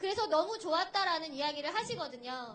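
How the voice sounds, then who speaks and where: A woman speaks with a bright, sharp tone and very wide pitch swings. Room echo is audible. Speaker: sign language interpreter. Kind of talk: rally speech. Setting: outdoor rally stage with crowd.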